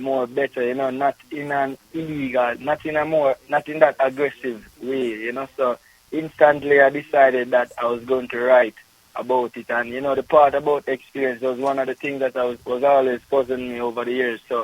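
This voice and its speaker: A man with a Jamaican accent speaks at a moderate pace in a medium pitch, his intonation monotone and flat, with a dry, close sound and no echo. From Jamaica, Kingston. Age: 20s. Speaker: poet and journalism student. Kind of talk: radio interview.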